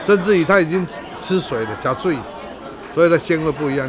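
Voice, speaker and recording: A man's fairly high, fairly quick voice with ordinary pitch variation, audible room echo and music in the background. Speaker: chef. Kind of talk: casual interview.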